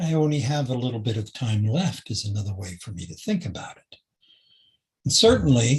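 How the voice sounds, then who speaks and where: A man talks at a moderate pace in a medium-pitched, somewhat breathy voice. His intonation is lively and his loudness swings widely. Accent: American. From California. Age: 70s. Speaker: spiritist speaker, retired musician and technologist. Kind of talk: spiritual talk.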